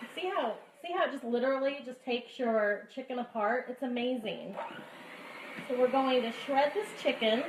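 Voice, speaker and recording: There is noticeable background noise as a woman speaks with an American accent. Her pitch is high, with ordinary variation, and her pace is moderate. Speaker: cooking vlogger. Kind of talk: tutorial. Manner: animated.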